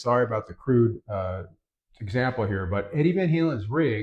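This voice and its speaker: Somewhat breathy, a man speaks at a fairly quick pace over a quiet background. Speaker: guitar tone tutorial youtuber. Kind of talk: tutorial.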